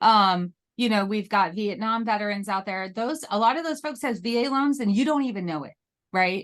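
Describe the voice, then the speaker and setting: A woman speaks with lively intonation and a fairly high pitch. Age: 40s. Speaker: real estate agent, military spouse. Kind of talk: interview. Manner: fast.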